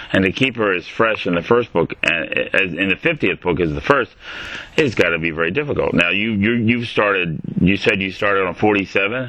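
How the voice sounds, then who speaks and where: Noticeable background noise sits under a man's fairly low voice. He speaks at a moderate pace with lively intonation. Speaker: podcast host. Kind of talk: casual interview.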